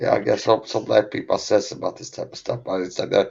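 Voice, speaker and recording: A man mumbles his words. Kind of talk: casual chat. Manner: mumbling; soft-spoken.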